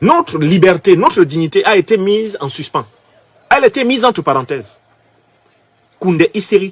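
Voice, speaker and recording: Pausing long and often, a man with a high voice talks at a moderate pace with very wide pitch swings. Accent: Cameroonian. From Cameroon. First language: Bassa (speaking French). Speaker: political commentator. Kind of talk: political commentary. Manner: emphatic.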